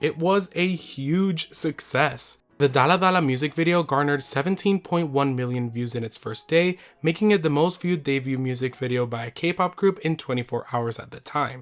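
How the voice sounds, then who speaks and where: Over music in the background, the speaker keeps a moderate pace with hardly any pauses and ordinary pitch variation. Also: man, fairly high pitch for a man. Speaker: YouTube commentator. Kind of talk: video essay commentary.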